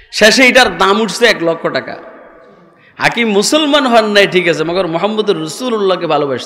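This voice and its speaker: Raised and projected, this man's high-pitched voice carries an animated tone and lively intonation. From Bangladesh. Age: old. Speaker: Islamic preacher. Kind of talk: sermon. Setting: religious gathering with audience. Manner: animated, rhetorical questions to the crowd. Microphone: podium.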